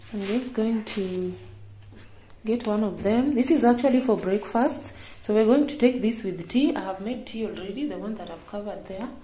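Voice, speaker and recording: A woman talks at a fairly high pitch. Room echo and noticeable background noise can be heard. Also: ordinary pitch variation, moderate pace. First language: Kenyan local language. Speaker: vlogger. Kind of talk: casual vlog tutorial. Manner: halting.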